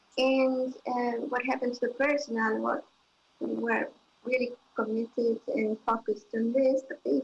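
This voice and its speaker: Over noticeable background noise, a woman talks at a moderate pace in a high pitch with fairly even intonation. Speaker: intensive care physician. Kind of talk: panel testimony. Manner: halting.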